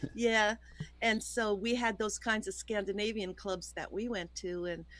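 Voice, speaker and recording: Speaking at a fairly slow pace, a woman uses a medium pitch and a monotone, flat intonation. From New York (Yonkers, Westchester). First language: Swedish. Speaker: singer. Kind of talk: interview.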